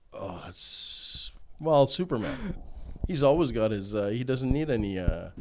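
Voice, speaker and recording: Over noticeable background noise, a man of medium pitch talks at a fairly slow pace with lively intonation. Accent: Canadian. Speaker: company founder and CEO. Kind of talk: interview. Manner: loud; hesitant, many fillers.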